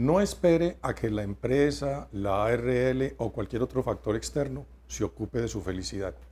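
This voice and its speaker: Fairly slow and somewhat breathy, a man speaks with lively intonation. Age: 50s. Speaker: writer and researcher on workplace wellbeing; lecturer, interview guest. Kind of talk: TV interview. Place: studio. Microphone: lapel.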